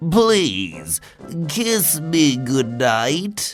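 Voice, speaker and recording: Faint music plays behind a put-on character voice. The pitch sits low-to-middle and swings very widely. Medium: read story.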